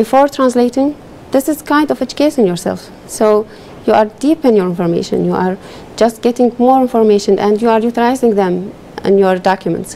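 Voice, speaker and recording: A woman's fairly high voice with an Arabic accent, fairly quick and very even in loudness, ordinary pitch variation, noticeable background noise behind. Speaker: legal translator. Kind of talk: TV interview.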